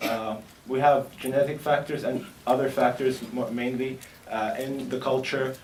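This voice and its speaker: A man speaks at a medium pitch with fairly even intonation. The room echo is audible, and background noise is noticeable. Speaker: medical researcher. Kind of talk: conference presentation. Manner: hesitant, many fillers.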